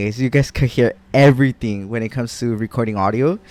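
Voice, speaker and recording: The man has an American accent, a medium pitch, and ordinary pitch variation. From Los Angeles, California. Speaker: podcaster. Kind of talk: casual solo podcast talk. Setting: home recording setup. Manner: halting; loud. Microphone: mic maybe too close.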